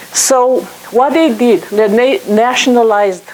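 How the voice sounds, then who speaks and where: A woman's fairly high voice with a Romanian accent and lively intonation, against noticeable background noise. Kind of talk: guest talk to an audience.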